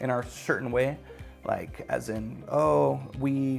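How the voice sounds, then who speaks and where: A man with a medium pitch talks over music in the background. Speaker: podcaster. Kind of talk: casual talk to camera. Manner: stutters.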